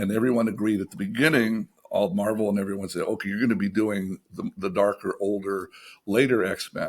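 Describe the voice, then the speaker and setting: Here a man talks at a fairly quick pace. His pitch is fairly low, with ordinary variation. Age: 60s. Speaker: animation TV writer and showrunner. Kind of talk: casual interview chat. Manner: halting, with frequent repetitions.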